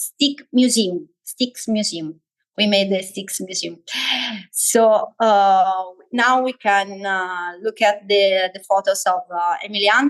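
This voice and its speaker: The speaker talks at a very slow pace with an Italian accent. Pitch varies in an ordinary way. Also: woman. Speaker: education lecturer. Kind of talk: online workshop lecture. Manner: halting, many fillers.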